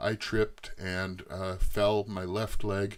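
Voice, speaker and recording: Against a silent background on a very clean recording, a man with an Eastern Canadian accent talks at a fairly low pitch and a very slow pace. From Eastern Canada. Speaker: YouTuber, machinist. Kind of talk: personal life story to camera. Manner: halting, many filler words.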